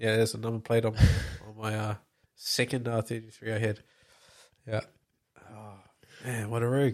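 A man with a medium pitch speaks at a moderate pace in a flat monotone, with long, frequent pauses and big swings in loudness. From New Zealand, Palmerston North area. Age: 20s. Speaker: heavy machinery operator. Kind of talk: casual chat.

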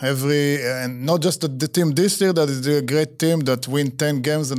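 Speaking very fast, a man with an Israeli accent has a fairly high pitch and fairly even intonation on a very clean recording with a silent background. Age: 40s. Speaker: soccer coach. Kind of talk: casual interview. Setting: studio.

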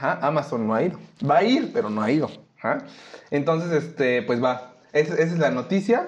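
A man speaks at a moderate pace with lively intonation. His pitch is fairly high. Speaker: podcast co-host. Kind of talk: casual chat.

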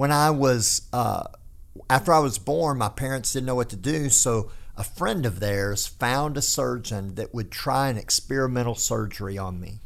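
A man with a Texan accent talks at a moderate pace. His pitch sits in the medium range with ordinary variation. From North Texas. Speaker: pastor. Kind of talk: casual chat.

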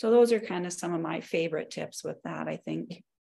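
Speaking at a fairly quick pace with vocal fry, a woman with an American accent is heard on a very clean recording against a silent background. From North Dakota, US. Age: 40s. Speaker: exercise physiologist and personal trainer. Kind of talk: casual interview chat.

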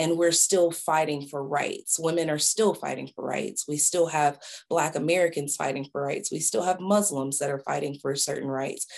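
The speaker has a Southern US accent and a moderate pace. There are hardly any pauses, and the pitch varies in an ordinary way. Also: woman, very deep, low pitch for a woman. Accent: Southern US (Georgia). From US South, small-town Georgia. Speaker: photographer and creative director. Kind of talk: interview, personal storytelling.

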